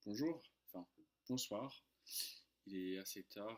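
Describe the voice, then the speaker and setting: The man's fairly low voice moves through ordinary pitch variation. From United States. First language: English (speaking French). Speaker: French tutor. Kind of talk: casual vlog storytelling. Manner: hesitant, many fillers.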